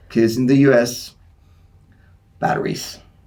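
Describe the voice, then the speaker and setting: A man talks at a medium pitch. There is audible room echo. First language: Greek. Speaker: sport scientist and personal trainer. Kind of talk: podcast interview. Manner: hesitant, many fillers.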